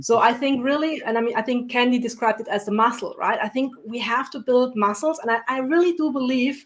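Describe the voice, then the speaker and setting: A woman with a non-native accent talks at a fairly quick pace with hardly any pauses. Her pitch is high, with ordinary variation. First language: not English. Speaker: entrepreneur and coach on panel. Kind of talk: panel discussion.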